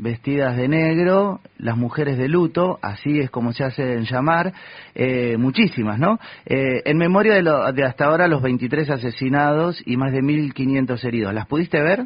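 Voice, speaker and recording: A man speaks at a fairly high pitch with lively intonation. He keeps a moderate pace. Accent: Rioplatense. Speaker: community radio host. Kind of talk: radio interview. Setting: radio studio.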